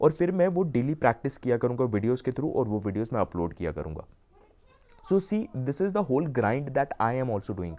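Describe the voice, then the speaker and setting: This man's voice sits at a medium pitch. It swings up and down very widely. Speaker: YouTuber, self-improvement coach. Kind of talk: casual vlog talk, mixing Hindi and English. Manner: usually speaks fast.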